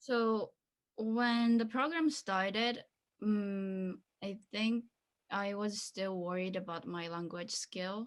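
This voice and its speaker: With a Japanese accent, a woman speaks at a very slow pace. Her pitch varies in an ordinary way. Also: medium pitch for a woman. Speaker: former international student. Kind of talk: interview. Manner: halting.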